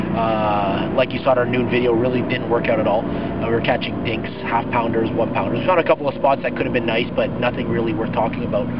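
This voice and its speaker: Music plays behind a man who talks at a very fast pace with hardly any pauses, the sound dry with no echo. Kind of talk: casual vlog chat. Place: boat. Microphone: camera far.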